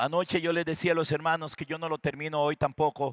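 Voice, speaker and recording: A man's fairly high voice with a bright, sharp tone, dry and close with no echo, on a very clean recording with a silent background. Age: 60s. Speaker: pastor. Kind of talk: sermon.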